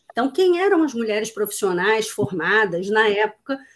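A woman with an ordinary speaking voice talks at a moderate pace with lively intonation. The recording is very clean, the background silent. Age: 40s. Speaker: diversity and inclusion consultant. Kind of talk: casual interview.

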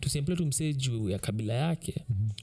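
A man uses an ordinary speaking voice at a fairly quick pace with ordinary pitch variation. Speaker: podcast co-host. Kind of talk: casual chat.

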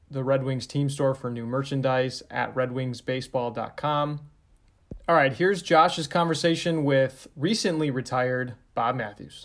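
Delivered at a fairly slow pace, this is an ordinary speaking voice with ordinary pitch variation. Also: man. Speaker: team communications director, podcast host. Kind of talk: podcast intro and outro.

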